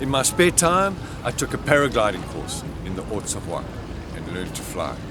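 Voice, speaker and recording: A man with a South African accent talks at a fairly quick pace in a fairly high pitch with very wide pitch swings. Audible room echo and noticeable background noise surround him. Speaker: public speaker, carpenter. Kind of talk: humorous speech.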